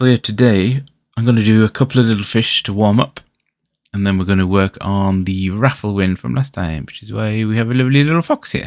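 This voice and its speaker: Relaxed in tone, the speaker talks at a fairly quick pace with a British accent in a very clean recording with a silent background. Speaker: vtuber pixel artist streamer. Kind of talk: casual livestream chat. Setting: livestream. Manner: relaxed, chill.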